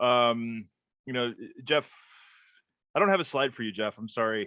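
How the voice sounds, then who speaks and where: This man has an ordinary speaking voice with an American accent, medium pitch, ordinary pitch variation, and a moderate pace. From New Jersey. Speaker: internet marketing trainer. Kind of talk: live webinar training. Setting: live webinar. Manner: casual, rambling with fillers.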